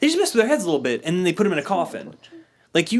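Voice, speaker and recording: A loud man speaks in an animated tone, with very wide pitch swings. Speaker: podcast host. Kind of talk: casual chat.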